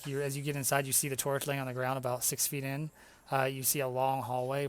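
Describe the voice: Text read plainly aloud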